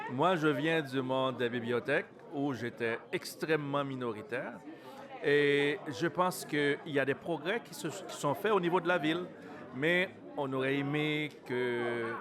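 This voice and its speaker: A man's fairly high-pitched voice at a fairly slow pace, with ordinary pitch variation over noticeable background noise. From Montreal, Quebec. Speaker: city councillor. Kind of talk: interview. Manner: halting.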